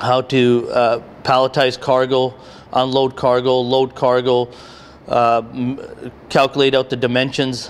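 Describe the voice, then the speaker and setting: A man speaks in a flat monotone at a moderate pace. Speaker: training program instructor. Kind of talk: interview answer. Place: factory. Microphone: handheld.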